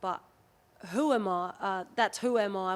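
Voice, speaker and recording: Over a very clean recording with a silent background, a woman with an Australian accent speaks at a medium pitch, a moderate pace and with fairly even intonation. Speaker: rugby league player. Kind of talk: casual chat.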